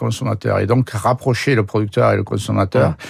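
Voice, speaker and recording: With vocal fry, a man talks at a medium pitch with ordinary pitch variation. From southern France, Aveyron. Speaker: dairy farmer and cooperative president. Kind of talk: radio interview. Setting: radio studio. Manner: hesitant, frequent repetitions.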